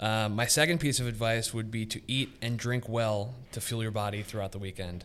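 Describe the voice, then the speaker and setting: Speaking at a fairly quick pace, a man with an American accent uses an ordinary speaking voice at a medium pitch with fairly even intonation. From Philadelphia (Northeast). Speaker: athletic trainer, youth sports safety director. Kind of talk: casual interview.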